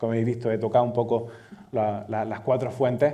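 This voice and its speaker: In an Andalusian accent, a man speaks at a medium pitch, his dark, mellow tone and fairly even intonation set against audible room echo. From Andalusia, Spain. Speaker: data manager, conference speaker. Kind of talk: conference keynote talk. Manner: halting, many fillers and repetitions.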